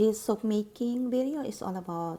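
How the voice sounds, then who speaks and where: The voice has a dark, mellow tone and lively intonation, moving at a moderate pace. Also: woman. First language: Tagalog. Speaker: soap maker. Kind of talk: tutorial voiceover.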